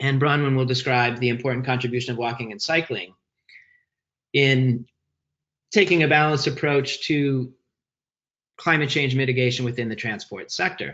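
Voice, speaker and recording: At a moderate pace and medium pitch, a man speaks with long, frequent pauses. The background is quiet. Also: ordinary pitch variation. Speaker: webinar moderator and research director. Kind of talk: webinar presentation. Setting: video call. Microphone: video call.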